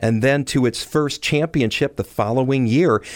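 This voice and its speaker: A man with a Michigan accent speaks at a medium pitch on a very clean recording with a silent background. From Detroit. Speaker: podcast host. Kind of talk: scripted narration.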